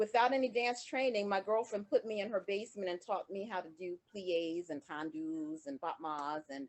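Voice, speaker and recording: A woman with an American accent and a normal speaking voice, medium in pitch, with lively intonation, a moderate pace and hardly any pauses. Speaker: dancer and dance teacher. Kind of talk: interview.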